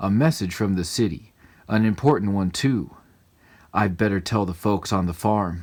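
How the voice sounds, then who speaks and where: A man growls in a put-on character voice with a rumbling, fairly low pitch. He keeps a moderate pace on a very clean recording with a silent background. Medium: read story. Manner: growling, grumbling.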